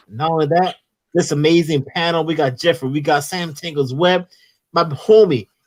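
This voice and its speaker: In a Philadelphia accent, the speaker goes at a moderate pace with ordinary pitch variation, in a very clean recording with a silent background. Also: man, fairly high pitch for a man. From Philadelphia, US. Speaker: comics YouTube host. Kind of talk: casual livestream chat. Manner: animated.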